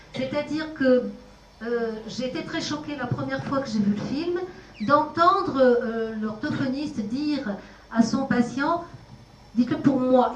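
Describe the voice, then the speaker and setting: A woman with a non-native accent speaks at a fairly slow pace, her pitch high with ordinary variation. Noticeable background noise and audible room echo run through the recording. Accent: foreign. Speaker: speech therapist. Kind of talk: panel discussion.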